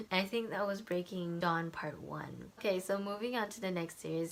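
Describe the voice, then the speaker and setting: A woman's quiet voice at a fairly quick pace, with fairly even intonation. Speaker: book vlogger. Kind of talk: casual vlog monologue. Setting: home at night. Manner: quiet, low voice.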